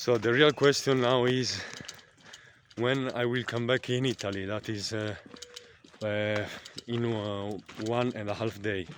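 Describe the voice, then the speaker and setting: A man talks at a very slow pace with fairly even intonation, and there is noticeable background noise. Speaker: vlogger. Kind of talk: casual vlog monologue. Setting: outdoors by a lake. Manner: halting, many fillers and repetitions.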